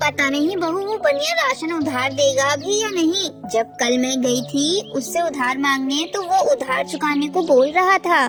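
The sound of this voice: A woman does a cartoonish character voice with a high pitch at a moderate pace. Clear music plays in the background.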